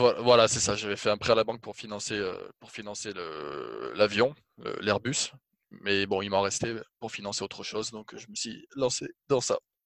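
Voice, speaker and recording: With a plain, everyday voice, a man talks at a fairly slow pace in a fairly low pitch and fairly even intonation. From France, Toulouse. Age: 20s. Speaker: airline pilot and clothing brand founder. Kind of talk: casual interview. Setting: video call.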